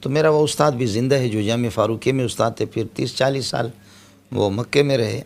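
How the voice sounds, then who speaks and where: Male speech at a medium pitch and moderate speed, an unremarkable speaking voice with ordinary pitch variation. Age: 50s. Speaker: Islamic scholar. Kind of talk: interview.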